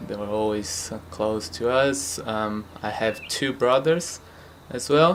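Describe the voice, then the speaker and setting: With a Portuguese accent, a man speaks at a very slow pace with ordinary pitch variation against noticeable background noise. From Brazil, São Paulo. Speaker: futsal club founder. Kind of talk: interview. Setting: at home. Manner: hesitant, many fillers.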